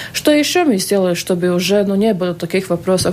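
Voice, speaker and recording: A woman talks at a moderate pace at a medium pitch. Noticeable background noise can be heard. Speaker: state auditor general. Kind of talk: live radio interview. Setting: radio studio. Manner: hesitant, many fillers.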